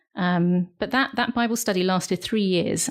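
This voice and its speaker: A woman speaks with a British accent at a medium pitch and ordinary pitch variation. The recording is very clean, with a silent background. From United Kingdom. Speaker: missionary. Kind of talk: interview answer.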